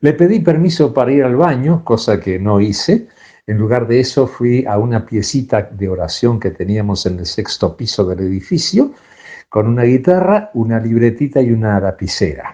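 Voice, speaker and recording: A man's medium-pitched voice, dark and mellow in tone, with lively intonation at a moderate pace over a quiet background. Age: 70s. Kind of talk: testimony. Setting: pre-recorded audio message.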